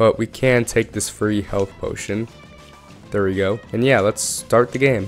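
Music plays in the background as a man talks at a fairly slow pace. His pitch is fairly low and his intonation fairly even. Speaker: gaming YouTuber. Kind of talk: casual gameplay commentary.

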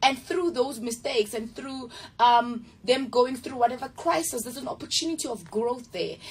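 A high-pitched woman talks at a moderate pace with ordinary pitch variation. Her loudness swings widely. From South Africa, Mamelodi (Pretoria). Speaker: actress. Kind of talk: interview. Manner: halting. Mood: earnest, reflective. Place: studio.

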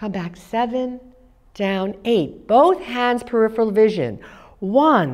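Against a quiet background, a woman talks with ordinary pitch variation. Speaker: movement class instructor. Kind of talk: exercise class instruction and counting. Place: studio. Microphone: lapel.

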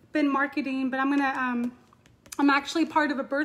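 A woman speaks at a high pitch. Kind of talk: casual vlog chat. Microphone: phone near.

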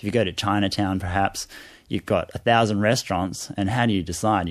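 A man with a fairly low voice talks at a very fast pace with fairly even intonation against a quiet background. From Asia (Hong Kong, Malaysia) and Australia, moved around. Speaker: fish biologist and university lecturer. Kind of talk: radio interview. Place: studio.

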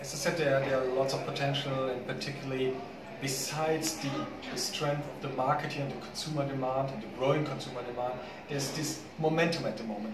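With a German accent, a man talks at a very fast pace against noticeable background noise. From Germany. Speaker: business chamber executive. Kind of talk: interview. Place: hall.

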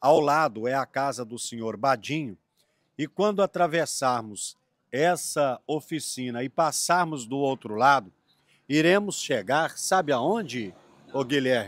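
A man's fairly slow speech with lively intonation, in a dry sound with no echo and a quiet background. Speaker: travel video host interviewing locals. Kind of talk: casual on-location interview. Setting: outdoors. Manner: animated. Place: street. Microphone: handheld.

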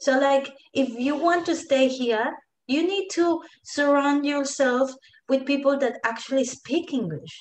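With a Colombian accent, the voice moves at a fairly slow pace with ordinary pitch variation and very even loudness, and audible room echo surrounds it. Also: woman, high pitch for a woman. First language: Spanish. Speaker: digital marketing entrepreneur. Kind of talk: casual interview. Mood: warm, relaxed storytelling. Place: home room. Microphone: video call.

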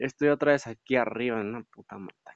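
The speaker is a man. He talks at a moderate pace. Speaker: gaming youtuber. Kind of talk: gameplay commentary. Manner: animated.

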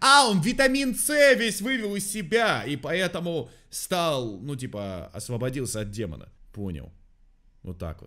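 Against a quiet background, a man speaks at a fairly slow pace with long, frequent pauses, a bright, sharp tone, very wide pitch swings and big swings in loudness. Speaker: reaction video creator. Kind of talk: casual reaction commentary. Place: home room.

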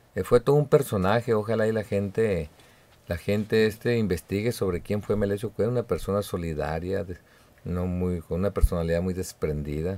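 A man's fairly low, dark and mellow voice at a moderate pace, with ordinary pitch variation. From Mexico, Sinaloa (Badiraguato); Sinaloa, Mexico. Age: 50s. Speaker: political candidate; candidate. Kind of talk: radio interview. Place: studio. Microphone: studio mic.

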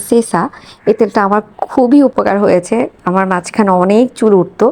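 Ordinary pitch movement in a woman's dark, mellow voice of medium pitch. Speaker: vlogger, homemaker. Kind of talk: vlog voiceover.

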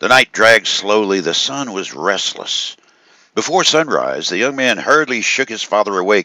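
Here is an unforced reading voice. It carries the passage.

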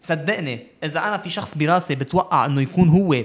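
At a fairly quick clip, the speaker talks with ordinary pitch variation. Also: man. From Lebanon. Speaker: youth ambassador and sports advocate; podcast guest. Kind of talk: casual interview. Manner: code-switching with English. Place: studio. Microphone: studio mic.

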